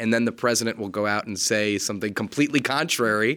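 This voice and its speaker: In a very clean recording with a silent background, a man with an American accent speaks fairly quickly at medium pitch in a plain, everyday voice. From US Northeast, Connecticut. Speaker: political journalist. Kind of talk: interview conversation.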